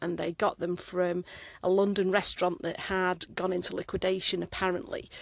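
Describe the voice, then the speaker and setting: Against a quiet background, the speech moves at a moderate pace in a flat monotone. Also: woman. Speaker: listener seeking furniture supplier. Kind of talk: recorded voice message.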